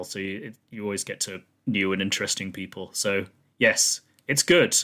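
In a very clean recording with a silent background, a man with a British accent speaks at a moderate pace, his fairly low voice bright and sharp in tone. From UK. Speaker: film podcast host. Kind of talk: casual chat.

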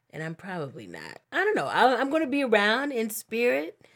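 On a very clean recording with a silent background, a woman with vocal fry speaks at a moderate pace. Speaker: podcast co-host. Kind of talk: casual chat. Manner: soft-spoken.

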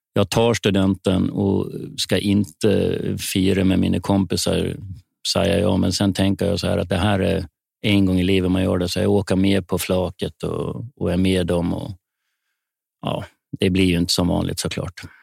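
A man talks in a very deep, low voice with monotone, flat intonation. The sound is dry and close, with no echo. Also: moderate pace. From Sweden, Gotland. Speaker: wheelchair tennis player and sports commentator. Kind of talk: interview.

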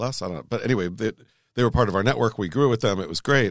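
A man speaks in an animated tone with lively intonation and vocal fry, his voice dry and close with no echo against a quiet background. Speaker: online video event manager. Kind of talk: interview.

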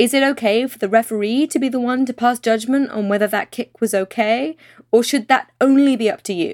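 A woman speaks with a British accent in a high pitch and lively intonation. The recording is very clean with a silent background, and the sound is dry and close with no echo. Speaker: podcast co-host, economics journalist. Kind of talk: podcast discussion.

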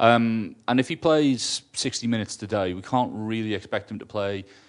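Over a quiet background, a man with an ordinary speaking voice talks at medium pitch with ordinary pitch variation. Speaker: football fan co-presenter. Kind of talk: casual banter about football.

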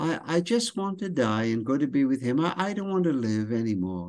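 A man with a British accent, very wide pitch swings and a moderate pace, over a quiet background. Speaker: author and speaker. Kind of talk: casual interview. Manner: storyteller.

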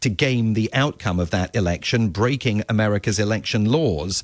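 A man talks at a fairly quick pace with lively intonation in a plain, everyday voice. His pitch is fairly low, and the sound is dry and close with no echo. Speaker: Washington correspondent. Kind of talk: news reporting, live radio update. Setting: remote live link from Washington.

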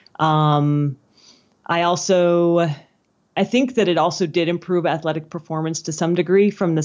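A woman's voice against a quiet background. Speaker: journalist, guest's wife.

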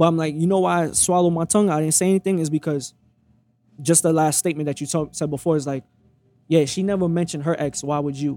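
A man's fairly high voice in a dark, mellow tone, delivered at a very fast pace. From Brooklyn, New York. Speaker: podcast guest sharing relationship story. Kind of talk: casual interview chat. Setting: recorded at a restaurant. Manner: animated, passionate.

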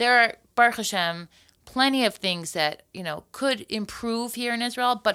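A woman's voice comes through bright and sharp, with lively intonation. The recording is very clean, the background silent. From US, Florida. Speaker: podcast host and singer. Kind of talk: casual chat. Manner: quick and witty.

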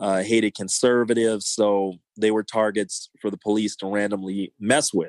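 Delivered at a moderate pace with hardly any pauses, the speech has a Californian accent and a monotone, flat intonation. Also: man, fairly low pitch for a man. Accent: Californian American. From South Los Angeles, California. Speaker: punk rock singer. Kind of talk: casual interview chat.

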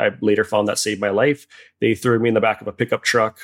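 A man with a Hawaiian accent speaks at a very fast pace and medium pitch. The recording is very clean and dry, close with no echo and a silent background. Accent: Hawaiian American English. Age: 40s. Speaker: photographer and shark attack survivor. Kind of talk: interview conversation.

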